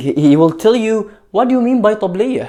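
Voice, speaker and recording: With an Egyptian accent, a man speaks at a moderate pace in a dark, mellow tone. His pitch swings very widely. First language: Arabic. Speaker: Arabic tutor. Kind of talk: language lesson talk to camera.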